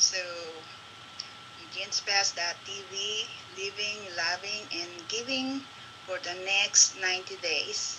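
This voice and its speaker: Speaking at a very slow pace with a Filipino accent, a woman uses lively intonation against noticeable background noise. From Philippines. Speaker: local business promoter. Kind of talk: live-stream chat. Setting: Facebook live video. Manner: halting.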